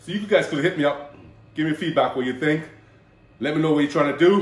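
Room echo is audible. A man speaks at a fairly quick pace. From Jamaica. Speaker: bodybuilder and personal trainer; personal trainer. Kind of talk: casual vlog intro. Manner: animated. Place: kitchen.

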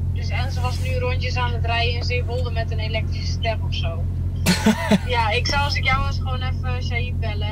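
A man speaks over loud background noise. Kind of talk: casual phone conversation. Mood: relaxed, a bit puzzled. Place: car. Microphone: camera far.

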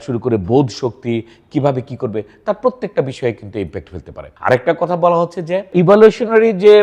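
This man has a plain, everyday voice with lively intonation. The background is quiet. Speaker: psychiatrist. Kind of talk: educational talk to camera.

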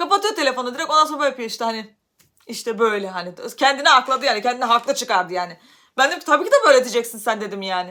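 Loud and very fast, a woman speaks at a high pitch with a bright, sharp tone and lively intonation. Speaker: YouTuber. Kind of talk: personal vlog storytelling.

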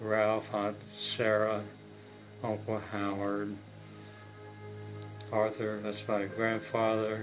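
A man talks at a very slow pace and fairly low pitch, with long, frequent pauses and monotone, flat intonation. Clear music plays in the background. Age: 90s. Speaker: family elder. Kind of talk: casual chat; casual family storytelling. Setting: family gathering. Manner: halting. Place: home room. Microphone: phone near.

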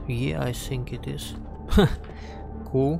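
A man speaks over music playing in the background. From Russia. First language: Russian. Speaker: game streamer. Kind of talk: casual gameplay commentary.

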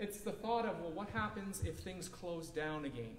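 Audible room echo over light background noise. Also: man. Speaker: pastor. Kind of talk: sermon. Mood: calm, reassuring. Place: hall.

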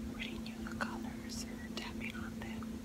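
Soft-spoken, the voice has a gentle, relaxed tone. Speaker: ASMR creator. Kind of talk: ASMR rummaging video, casual talk to camera. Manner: soft-spoken, gentle, relaxed. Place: home room.

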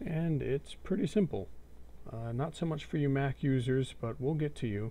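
A man speaks in a relaxed, dark, mellow tone. His voice is somewhat breathy, and his pace is moderate. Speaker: gaming tutorial creator. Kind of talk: screen-recorded software tutorial. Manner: casual, relaxed.

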